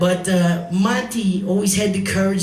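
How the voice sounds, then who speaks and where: A man with a New York accent and a high pitch speaks at a moderate pace amid noticeable background noise and audible room echo. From New York, the Bronx. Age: 60s. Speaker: singer and comedian. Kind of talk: eulogy speech at memorial. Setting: bar with live audience.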